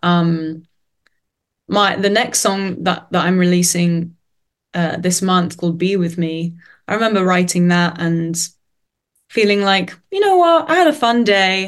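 With a London accent, a woman speaks at medium pitch and a fairly slow pace, her intonation fairly even and her pauses long and frequent. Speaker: singer-songwriter. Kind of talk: casual interview. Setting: video call.

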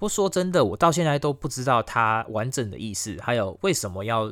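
An ordinary speaking voice with lively intonation goes at a fairly quick pace in a very clean recording with a silent background. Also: man. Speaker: podcast host. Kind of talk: casual storytelling monologue.

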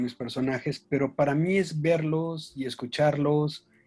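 Here a man talks at a fairly slow pace. His voice is fairly high-pitched and somewhat breathy. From Mexico. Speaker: children's author and book designer. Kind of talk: casual interview chat.

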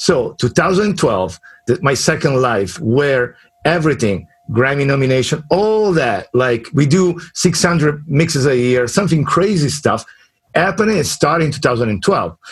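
A man speaks with a fairly high pitch and lively intonation in an Italian accent. His pace is fairly slow and his loudness very even. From Italy. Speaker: mixing and mastering engineer. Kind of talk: casual interview.

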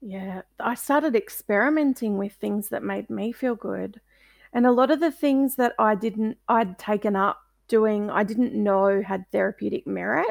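Speaking with an Australian accent, a woman takes a fairly slow pace. The recording is very clean with a silent background, dry and close with no echo. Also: fairly high pitch for a woman, ordinary pitch variation. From Australia, Melbourne. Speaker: author. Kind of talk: interview.

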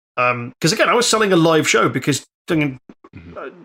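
A man with an English accent speaks at a fairly high pitch and a moderate pace. His tone is bright and sharp, with lively intonation. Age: 40s. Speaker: comedian and game master. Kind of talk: casual chat.

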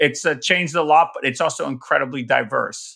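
Speaking at a fairly quick pace with an American accent, this voice has a bright, sharp tone on a very clean recording with a silent background. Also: man. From New York. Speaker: author and development expert. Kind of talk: interview.

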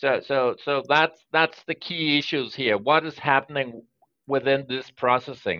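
Fairly slow and fairly high-pitched, a man speaks with ordinary pitch variation. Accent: Danish. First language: Danish. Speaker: data protection regulator, security specialist and lawyer. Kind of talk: podcast interview. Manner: halting with frequent repetitions.

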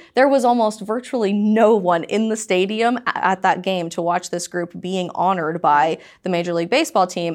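With an American accent and an ordinary speaking voice, a woman talks at a fairly quick pace and varies her pitch in an ordinary way. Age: 20s. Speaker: conservative commentator. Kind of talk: interview.

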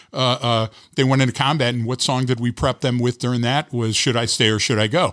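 On a very clean recording with a silent background, a man with a normal speaking voice talks at a fairly quick pace and medium pitch, with fairly even intonation, very even loudness and a dry, close sound with no echo. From Detroit. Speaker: trainer and writer. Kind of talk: casual podcast conversation.

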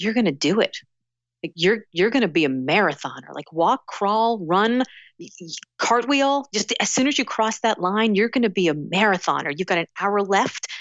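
A woman's plain, everyday voice with an American accent, medium in pitch, at a moderate pace with lively intonation. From US South, Miami, Florida. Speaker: author and speaker. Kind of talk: casual interview.

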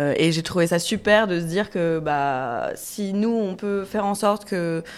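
A woman speaks in a fairly low pitch. She has a normal speaking voice. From Paris suburbs, France. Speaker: chef and restaurant owner. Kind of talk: panel discussion. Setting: recorded in a café.

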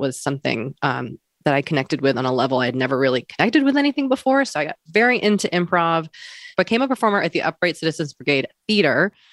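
A woman speaks at a very fast pace with very wide pitch swings. The recording is very clean with a silent background and a dry, close sound with no echo. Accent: American. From Massachusetts, Wellesley. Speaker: author and podcaster. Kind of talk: interview.

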